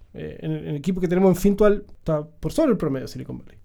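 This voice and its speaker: A man with a Chilean accent, a high pitch and a dark, mellow tone. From southern Chile, Puerto Montt. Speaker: startup founder. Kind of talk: casual chat.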